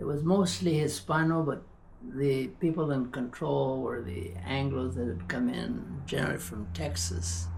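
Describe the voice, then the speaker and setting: Over noticeable background noise, a man talks at a fairly slow pace in a medium pitch, his voice swinging very widely in pitch. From Tularosa, New Mexico. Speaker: professor. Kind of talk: oral history interview answer.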